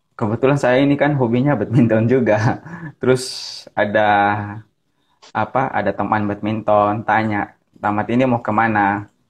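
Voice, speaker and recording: Delivered at a moderate pace, the speech holds a very even loudness throughout. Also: man, medium pitch for a man. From Ambon, Maluku, Indonesia. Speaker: pastor. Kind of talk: casual chat. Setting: video call. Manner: energetic. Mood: relaxed, smiling. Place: home room. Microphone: earbuds.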